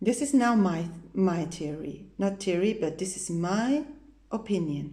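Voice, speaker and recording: Talking at a fairly slow pace, a woman with a medium pitch and a dark, mellow tone sounds somewhat breathy with lively intonation. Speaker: vocal teacher. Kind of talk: vocal technique tutorial.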